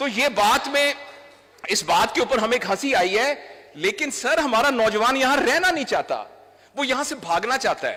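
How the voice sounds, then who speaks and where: Over noticeable background noise, a man uses a raised, projected voice at an extremely high pitch with lively intonation. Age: 60s. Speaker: doctor and trainer. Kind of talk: speech. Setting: stage with audience.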